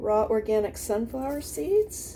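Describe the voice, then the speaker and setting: Noticeable background noise runs through the clip. Audible room echo is present as well. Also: woman. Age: 60s. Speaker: home cook and gardener video creator. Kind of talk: casual cooking tutorial. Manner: hesitant, many fillers.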